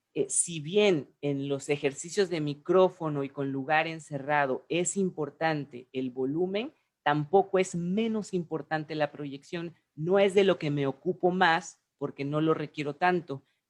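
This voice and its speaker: Hardly any pauses break the fairly slow pace of this speech. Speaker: voice coach. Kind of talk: casual chat.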